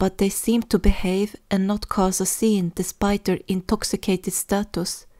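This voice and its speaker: With a non-native accent and a dark, mellow tone, a woman talks at a moderate pace on a very clean recording with a silent background. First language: not English. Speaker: fan fiction audiobook narrator. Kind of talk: audiobook narration.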